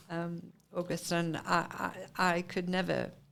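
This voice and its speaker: A woman speaks with an English accent. Her pitch sits fairly low. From Britain. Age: 70s. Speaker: retired ornithologist and conservationist. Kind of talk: interview.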